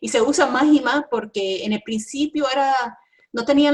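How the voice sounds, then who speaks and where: A woman talking at a moderate pace. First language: English (speaking Spanish). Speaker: environmental engineering professor. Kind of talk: interview. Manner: halting, many fillers and self-corrections.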